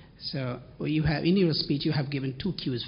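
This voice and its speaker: A man speaks at a fairly high pitch and a moderate pace. His voice is somewhat breathy, with ordinary pitch variation. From Bangladesh. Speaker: journalism fellow. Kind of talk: audience question.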